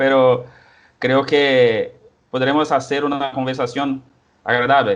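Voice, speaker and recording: In a Portuguese accent, a man talks at medium pitch. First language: Portuguese (speaking Spanish). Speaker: historian, researcher. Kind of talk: interview. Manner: halting.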